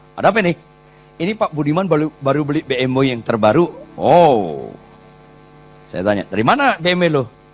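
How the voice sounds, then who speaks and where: Music plays behind a man whose fairly high voice makes very wide pitch swings in an animated tone at a moderate pace, broken by long, frequent pauses. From Batak, North Sumatra, Indonesia. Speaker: pastor. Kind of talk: sermon. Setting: church.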